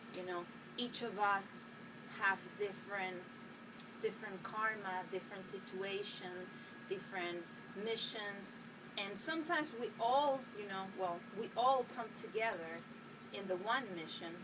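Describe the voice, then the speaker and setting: With a Spanish accent, a woman at medium pitch speaks at a fairly slow pace with long, frequent pauses and ordinary pitch variation, amid audible room echo and noticeable background noise. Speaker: spiritual healer. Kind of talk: inspirational monologue to camera. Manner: hesitant, with many fillers.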